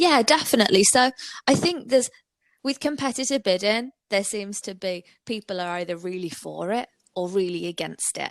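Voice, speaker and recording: Recorded with a dry, close sound and no echo, a woman speaks at a moderate pace with a medium pitch and lively intonation. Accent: Brummie. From Birmingham, England. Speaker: digital marketing agency owner. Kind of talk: podcast interview.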